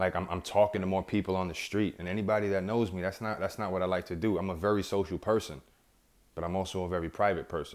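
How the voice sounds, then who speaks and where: At a very fast pace, a man with an American accent speaks in a very deep, low pitch with monotone, flat intonation, on a very clean recording with a silent background. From New York. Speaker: self-help podcast host. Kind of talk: motivational monologue.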